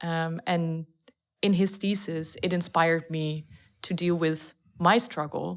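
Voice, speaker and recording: Someone with a Dutch accent speaks at a fairly slow pace with fairly even intonation. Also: woman, fairly low pitch for a woman. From Netherlands. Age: 20s. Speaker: startup founder. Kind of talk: podcast interview.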